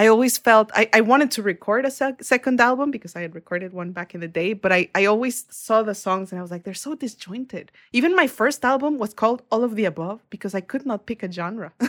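Talking very fast with hardly any pauses, a woman with a Spanish accent uses lively intonation and a fairly high pitch, her loudness swinging widely, in a dry, close sound with no echo. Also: very clean recording, silent background. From Mexico. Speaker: singer-songwriter and music producer. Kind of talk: casual interview chat.

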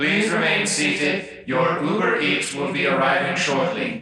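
A robotic, put-on character voice moves at a moderate pace through a strong echo. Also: man, fairly high pitch for a man.

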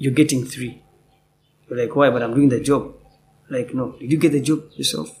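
A man speaks in a medium pitch at a moderate pace with fairly even intonation. His voice is somewhat breathy, with long, frequent pauses. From Uganda. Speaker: actor. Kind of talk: interview. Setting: theatre.

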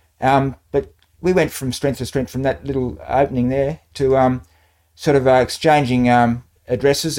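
In an Australian accent, the speaker talks at a fairly quick pace with fairly even intonation on a very clean recording with a silent background. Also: man. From Australia, New South Wales. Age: 60s. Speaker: retired banker. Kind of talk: interview, life story.

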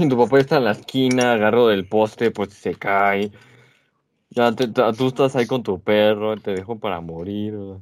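In a very clean recording with a silent background, a man with a plain, everyday voice talks at a moderate pace with a fairly low pitch and ordinary pitch variation. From Mexico. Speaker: podcast co-host. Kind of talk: casual chat.

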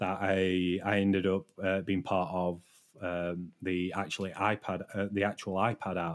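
A man with a British accent speaks at a fairly slow pace in a very deep, low voice with monotone, flat intonation. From Britain. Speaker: software developer and stream moderator. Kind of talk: casual interview. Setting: live stream. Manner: understated, low emotion.

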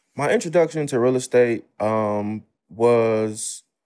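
The man's voice has a dark, mellow tone at a medium pitch. His pitch moves in an ordinary way. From Chicago South Side. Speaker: real estate investor. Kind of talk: casual interview. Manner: animated.

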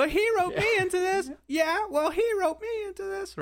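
An extremely high, squeaky put-on character voice with a whiny tone moves at a fairly quick pace. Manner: eager, whiny.

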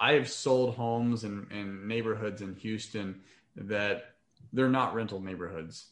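With ordinary pitch variation, an unremarkable speaking voice proceeds at a fairly slow pace. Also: man. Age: 30s. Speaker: real estate investor. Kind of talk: interview.

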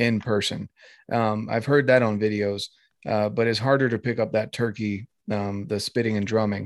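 A man with an ordinary speaking voice, fairly even intonation and moderate pace, in a dry, close sound with no echo. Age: 20s. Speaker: outdoors podcast host. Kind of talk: casual interview chat.

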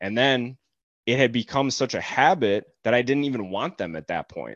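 An unremarkable speaking voice from a man, medium in pitch, at a moderate pace with lively intonation, in dry, close sound with no echo. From moved around the US Northeast and Ohio as a child, ending up in Cleveland. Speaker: coach and military veteran. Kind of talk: casual interview.

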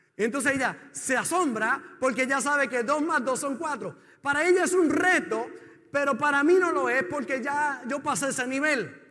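Raised and projected, a man's bright, sharp voice reaches an extremely high pitch with ordinary variation. He keeps a moderate pace amid audible room echo. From Puerto Rico. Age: 50s. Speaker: pastor. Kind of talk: sermon.

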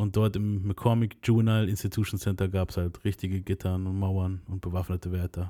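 With a dark, mellow tone, a man of very deep, low pitch speaks at a fairly quick pace in a monotone, flat intonation on a very clean recording with a silent background. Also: hardly any pauses. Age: 30s. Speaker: podcast host. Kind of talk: casual chat. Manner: casual slangy storytelling.

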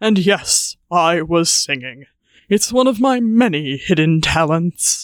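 Using a put-on character voice, a man speaks at a high pitch with lively intonation. His pace is fairly slow and his loudness very even. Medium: audio drama. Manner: haughty, condescending.

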